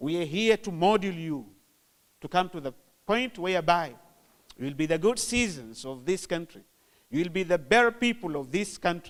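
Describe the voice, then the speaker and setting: With a Zanzibar accent, a man speaks at a moderate pace and high pitch, using lively intonation and long, frequent pauses. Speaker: government official. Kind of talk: formal speech.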